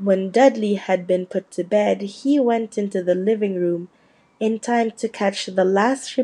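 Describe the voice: The clip is plain reading aloud.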